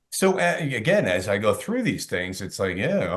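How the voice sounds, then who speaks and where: The pace is fairly quick. Intonation stays lively throughout. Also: man. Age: 60s. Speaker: sales expert and author. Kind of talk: podcast interview. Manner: animated.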